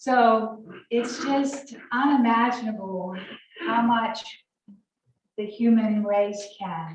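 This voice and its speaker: Pausing long and often, a woman with a Southern US accent speaks at a very slow pace. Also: fairly high pitch for a woman, ordinary pitch variation. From Alabama. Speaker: college professor. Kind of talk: guest talk at church.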